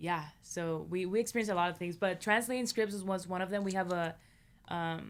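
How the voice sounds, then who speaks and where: Her pitch sits at a medium level and her intonation stays fairly even. It is a very clean recording of a woman, the background silent. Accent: Spanish. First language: Spanish. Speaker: filmmaker and producer. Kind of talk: interview conversation.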